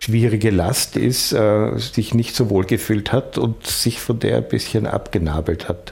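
Noticeable background noise sits behind the speech. The man goes at a fairly slow pace. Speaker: filmmaker and journalist. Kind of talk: interview.

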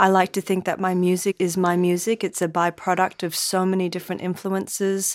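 A woman speaks very slowly at a medium pitch. The recording is very clean, with a silent background and a dry, close sound with no echo. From Australia. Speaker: jazz bassist and composer. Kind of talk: interview. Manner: halting.

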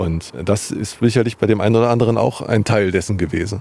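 With fairly even intonation and a dark, mellow tone, a man speaks fairly quickly at a fairly low pitch. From Jena, Thuringia, eastern Germany. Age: 40s. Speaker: journalist. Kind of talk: interview. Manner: hesitant, with fillers.

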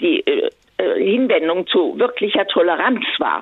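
A woman speaks at a very slow pace, her pitch swinging very widely over noticeable background noise. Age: 80s+. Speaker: caller. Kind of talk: phone-in call. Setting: phone call. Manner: halting.

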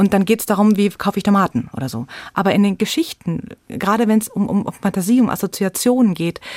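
A woman's medium-pitched, somewhat breathy voice with lively intonation at a moderate pace, dry and close with no echo. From Munich, Bavaria. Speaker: storyteller and theatre educator. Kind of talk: radio interview.

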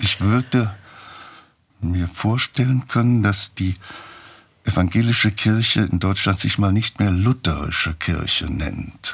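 This man has a fairly low pitch and a somewhat breathy voice. He talks at a fairly slow pace with ordinary pitch variation. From Saarland, Germany. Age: 80s+. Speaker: theologian and author. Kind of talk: interview.

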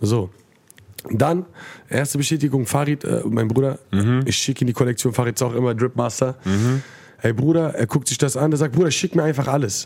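Keeping his loudness very even, a man speaks at a fairly quick pace and medium pitch with ordinary pitch variation. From Frankfurt-Sossenheim, Germany. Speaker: rapper. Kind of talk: casual chat. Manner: animated.

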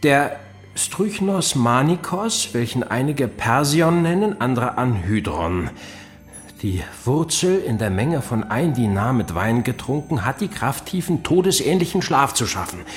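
A man speaks at a fairly high pitch with very wide pitch swings, and music plays in the background. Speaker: narrating detective in audio drama. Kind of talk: scripted audio drama, first-person narration. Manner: dramatic, suspenseful, tense storytelling; formal, period-style.

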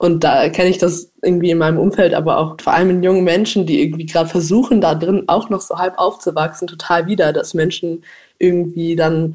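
A woman's fairly low voice at a very fast pace, with fairly even intonation. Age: 20s. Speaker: climate activist and student. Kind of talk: interview answers.

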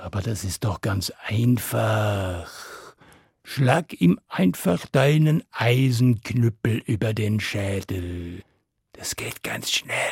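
Very slowly, a man talks in a fairly low, somewhat breathy voice with ordinary pitch variation. The sound is dry and close, with no echo. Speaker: storyteller. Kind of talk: fairy tale narration for children, told aloud. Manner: animated, storytelling with character voices and suspense; direct, addressing listeners warmly.

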